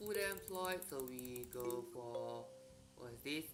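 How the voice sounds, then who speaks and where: The delivery is fairly slow. Background music can be heard behind it. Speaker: video game streamer. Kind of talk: gameplay commentary. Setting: live stream. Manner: soft-spoken. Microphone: voice too quiet relative to music.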